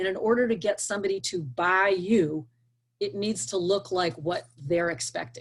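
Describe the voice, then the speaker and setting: Somewhat breathy and animated, a woman with a medium pitch speaks at a moderate pace. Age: 60s. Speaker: career coach / hiring expert. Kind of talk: interview advice.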